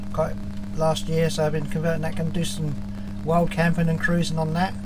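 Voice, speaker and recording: A man with a high pitch talks at a moderate pace while noticeable background noise plays behind him. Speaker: hobby sailor vlogger. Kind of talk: casual vlog chat. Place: workshop. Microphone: phone near.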